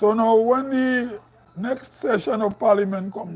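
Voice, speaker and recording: A man with a northern Grenadian accent speaks at a high pitch with ordinary pitch variation. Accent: northern Grenadian, like Carriacou. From Grenada, Saint Patrick Parish. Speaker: political commentator. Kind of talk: live stream commentary. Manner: halting, repeats words.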